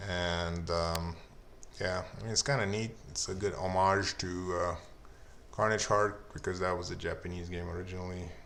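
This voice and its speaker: In a Lithuanian accent, a man speaks with a very deep, low pitch and fairly even intonation. His pace is moderate, with audible room echo. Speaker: indie game developer. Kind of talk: solo development update video. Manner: hesitant, many fillers.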